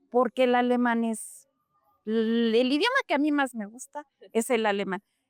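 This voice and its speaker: Speech comes at a moderate pace with fairly even intonation, recorded dry and close with no echo. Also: woman. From Mexico (Mexico City, then Puebla), German-speaking home. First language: German (speaking Spanish). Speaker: German language teacher. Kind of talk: interview.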